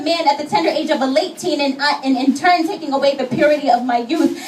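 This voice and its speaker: Noticeable background noise sits behind a woman with a high pitch. She talks at a very fast pace. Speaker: spoken word poet. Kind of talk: spoken word poetry performance. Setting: live gallery event. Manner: some stuttering, shaky delivery.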